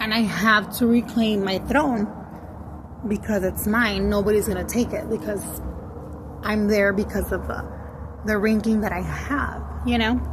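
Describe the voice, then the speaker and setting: There is audible room echo and noticeable background noise as a woman with a Spanish accent speaks, leaving long, frequent pauses. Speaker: spiritual content creator. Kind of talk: casual monologue, story time. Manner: slow, halting; code-switching English and Spanish.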